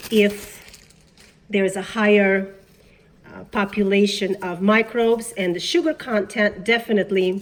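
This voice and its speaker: A woman's voice with fairly even intonation over noticeable background noise. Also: medium pitch for a woman, fairly slow pace. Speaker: worm farmer. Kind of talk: casual talk to camera.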